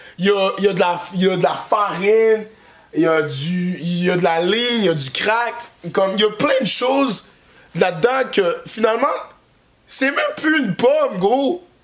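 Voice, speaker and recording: Against noticeable background noise, a man with a high pitch talks at a moderate pace with lively intonation and long, frequent pauses. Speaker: comedian. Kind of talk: comedic vlog monologue. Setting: workshop. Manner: casual, halting with many fillers.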